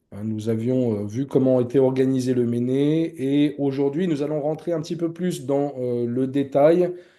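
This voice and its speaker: The voice has a dark, mellow tone and moves at a fairly slow pace with hardly any pauses, ordinary pitch variation, and audible room echo. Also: man, fairly high pitch for a man. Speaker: church teacher. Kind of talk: lecture. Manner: hesitant, many fillers.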